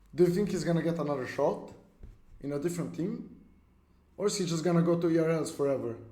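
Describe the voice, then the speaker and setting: Audible room echo surrounds a man who speaks at a very fast pace and high pitch, with ordinary pitch variation and long, frequent pauses. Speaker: esports streamer. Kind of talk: live stream chat. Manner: intense, sounds mad.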